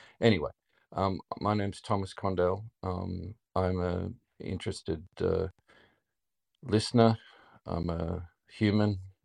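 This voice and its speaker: A man with an Australian accent speaks at a very deep, low pitch and a fairly slow pace, with long, frequent pauses. The sound is dry and close with no echo, over a quiet background. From Melbourne, Australia. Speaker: listener joining a live podcast stage. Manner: slow, deliberate speaker.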